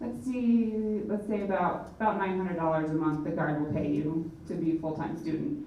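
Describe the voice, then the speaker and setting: A woman speaks at a fairly quick pace with lively intonation. Audible room echo and noticeable background noise come through. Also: fairly low pitch for a woman. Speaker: National Guard representative. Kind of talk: presentation. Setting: public forum hall. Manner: fast.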